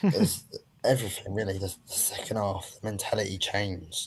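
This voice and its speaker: At a moderate pace, the voice comes across somewhat breathy. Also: man. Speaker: football fan caller. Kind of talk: casual chat.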